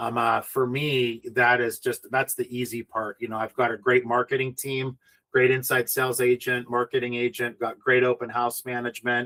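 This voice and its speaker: With a dry, close sound and no echo, a man speaks at a medium pitch in a bright, sharp tone. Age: 50s. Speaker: real estate developer. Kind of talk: interview. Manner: halting, many fillers.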